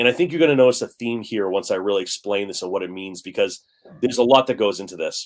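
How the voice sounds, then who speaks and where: Speaking very fast, a man lets his volume rise and fall sharply. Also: medium pitch for a man, ordinary pitch variation. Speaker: finance channel host. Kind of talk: reading notes aloud; casual live-stream discussion. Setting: live stream.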